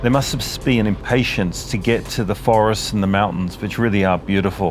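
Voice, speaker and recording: This man talks at a fairly quick pace with a fairly low pitch and very even loudness over noticeable background noise. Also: ordinary pitch variation. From Australia. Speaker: motorcycle travel vlogger. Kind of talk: vlog voiceover narration.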